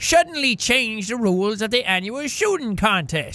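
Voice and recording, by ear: Intonation here is lively. The clip is reading aloud in a natural voice.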